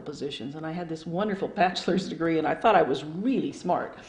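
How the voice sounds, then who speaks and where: Speaking very fast with an American accent, a woman's fairly low voice comes through over noticeable background noise. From Phoenix, Arizona, US Southwest. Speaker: retired local government staff member. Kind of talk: oral history interview. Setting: at home.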